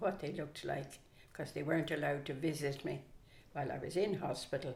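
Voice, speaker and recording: With a Dublin accent, a woman speaks in a very deep, low voice that is somewhat breathy, and audible room echo surrounds her. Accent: Dublin Irish. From Ireland, Dublin. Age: 80s+. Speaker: grandmother interviewee. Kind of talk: casual interview.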